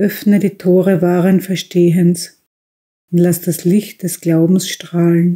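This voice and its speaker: Very slowly, a woman speaks in a dark, mellow, somewhat breathy voice, fairly low in pitch and flat in intonation. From Austria. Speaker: tobacconist shop owner, reading a prayer. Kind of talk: religious prayer reading.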